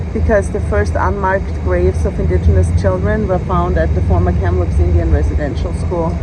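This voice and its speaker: Amid noticeable background noise and audible room echo, a woman with a very deep, low pitch talks fairly quickly with hardly any pauses, fairly even intonation and very even loudness. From Austria. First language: German. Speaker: law professor. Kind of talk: casual chat.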